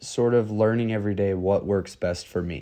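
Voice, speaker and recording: A fairly low-pitched man in a dark, mellow tone over a quiet background. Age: 20s. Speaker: podcast co-host. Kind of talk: casual chat.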